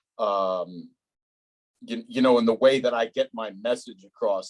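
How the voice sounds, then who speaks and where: A man talks with a New Jersey accent in a dry, close sound with no echo. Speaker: podcast host. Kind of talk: casual interview. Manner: blunt, direct.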